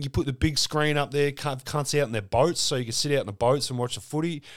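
On a very clean recording with a silent background, a man with an Australian accent talks at a very fast pace in a fairly high pitch. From Melbourne, Australia. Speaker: sports podcast host. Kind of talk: casual chat.

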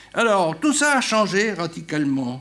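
Speaking at a very slow pace with an Italian accent, the voice swings very widely in pitch over audible room echo. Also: man. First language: Italian (speaking French). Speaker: retired political science professor. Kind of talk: conference talk.

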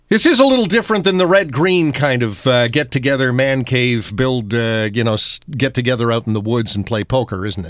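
An ordinary speaking voice with lively intonation at a fairly quick pace. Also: man, medium pitch for a man. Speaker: radio host. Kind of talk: radio interview.

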